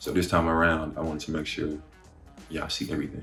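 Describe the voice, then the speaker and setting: Speech comes at a very fast pace with an American accent. Music plays in the background, and room echo is audible. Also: man. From Dallas, Texas (Oak Cliff). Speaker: model and creative artist, vlogger. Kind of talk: casual Q&A vlog.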